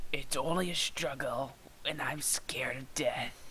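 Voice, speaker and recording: In a put-on character voice, the speaker whispers and growls in a raspy way at a moderate pace, with clear background noise. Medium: read story. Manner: growling.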